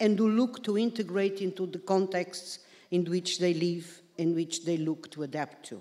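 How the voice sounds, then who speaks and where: The speaker is a woman with a Portuguese accent. Her pitch moves with ordinary variation. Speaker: career guidance academic. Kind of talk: conference presentation. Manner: formal.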